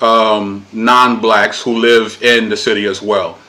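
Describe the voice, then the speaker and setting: A man speaks at a medium pitch in a New York accent. Background noise is noticeable. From Brooklyn, New York (Puerto Rican family). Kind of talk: casual interview conversation.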